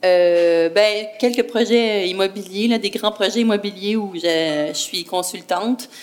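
Speaking at a very slow pace, a woman uses a medium pitch. Her pitch variation is ordinary. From Quebec, Brossard. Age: 40s. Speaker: entrepreneur. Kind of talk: interview.

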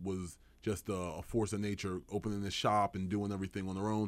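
A man with a Philadelphia accent, fairly low in pitch, at a fairly quick pace. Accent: Philadelphia-area American English. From New Jersey, Burlington County. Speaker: insurance agency owner. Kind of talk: interview. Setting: studio.

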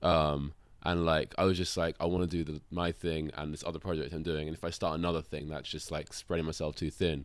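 With monotone, flat intonation, a man speaks in a very deep, low pitch in a very clean recording with a silent background. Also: fairly quick pace. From London, England. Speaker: drummer. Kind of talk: casual chat.

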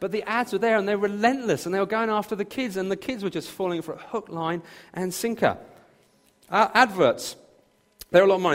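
A man speaks in a southern English accent. His pitch is high. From southern England, near Brighton. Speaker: pastor. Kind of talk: sermon. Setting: church.

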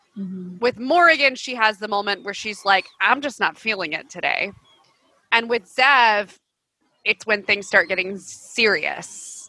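A woman with a fairly high, bright and sharp voice talks at a fairly slow pace with lively intonation. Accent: American. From US South. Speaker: podcast co-host. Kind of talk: casual chat.

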